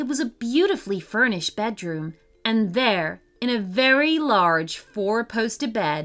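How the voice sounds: The clip carries a natural reading voice.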